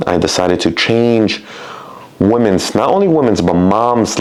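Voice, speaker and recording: With a Spanish accent, a man speaks at a fairly slow pace in a fairly low pitch, over noticeable background noise. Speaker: personal trainer. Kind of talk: casual monologue.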